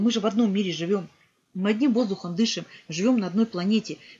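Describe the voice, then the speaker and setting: An animated, somewhat breathy woman with a fairly high pitch and ordinary pitch variation at a very fast pace. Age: 50s. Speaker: vlogger. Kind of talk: motivational monologue to camera. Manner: earnest, animated. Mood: earnest, reflective. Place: home room. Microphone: webcam.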